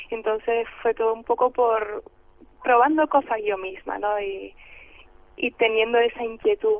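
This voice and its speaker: With long, frequent pauses, a woman speaks at a fairly slow pace in a fairly high pitch with ordinary pitch variation. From Canary Islands (El Hierro). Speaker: actress. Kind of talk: radio interview.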